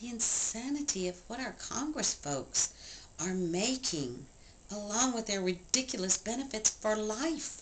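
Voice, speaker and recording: Speaking fairly slowly, a woman uses lively intonation and a fairly high pitch while noticeable background noise carries on behind her. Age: 60s. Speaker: write-in presidential candidate. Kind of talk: political campaign speech. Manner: impassioned.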